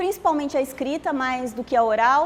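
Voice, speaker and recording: A woman with a Florianópolis accent and ordinary pitch variation. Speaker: workshop instructor. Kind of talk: lecture.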